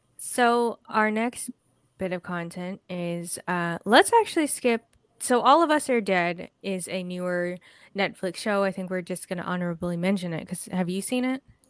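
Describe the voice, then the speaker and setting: Over a silent background in a very clean recording, a woman uses a plain, everyday voice at medium pitch with ordinary pitch variation, the sound dry and close with no echo. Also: moderate pace. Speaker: podcast host. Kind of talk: casual chat.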